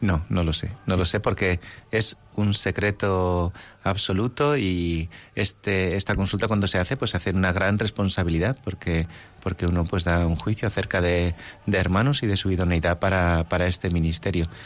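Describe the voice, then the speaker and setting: A man speaks at a moderate pace in a very deep, low voice with fairly even intonation and very even loudness. The recording is very clean, with a silent background. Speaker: priest, seminary rector and bishop-elect. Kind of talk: radio interview.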